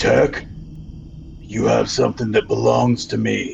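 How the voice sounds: A gravelly, put-on character voice speaks at a fairly slow pace. Background noise is clearly audible. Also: man.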